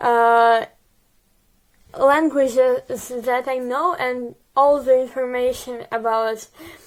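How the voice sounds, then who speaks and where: A high-pitched woman with a Ukrainian accent at a very slow pace. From Ukraine. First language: Russian. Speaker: vlogger. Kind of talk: casual video diary. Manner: halting, many fillers.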